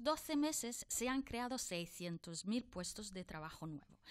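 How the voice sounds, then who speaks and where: A woman with a high voice talks rather unhurriedly, her pitch swinging very widely. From outside Spain. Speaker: politician. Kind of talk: political debate.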